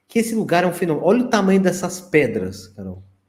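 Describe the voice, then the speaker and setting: The intonation is lively. A man speaks with a high pitch. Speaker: researcher of ancient sites and ufology. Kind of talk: interview presentation with slides.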